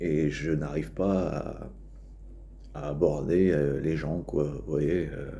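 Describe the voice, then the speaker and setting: In a northern French accent, a man speaks with a very deep, low pitch, a dark, mellow tone and vocal fry, in audible room echo. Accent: northern French (Ch'ti). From northern France, Nord-Pas-de-Calais. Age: 30s. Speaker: vlogger. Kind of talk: casual vlog monologue. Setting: outdoors. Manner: halting, many fillers and repetitions.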